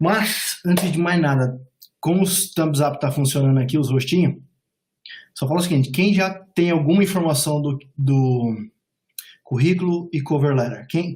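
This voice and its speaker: A man's somewhat breathy, fairly high voice at a fairly slow pace, with long, frequent pauses, very even loudness and ordinary pitch variation. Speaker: immigration and job advisor. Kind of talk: webinar presentation. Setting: online webinar call.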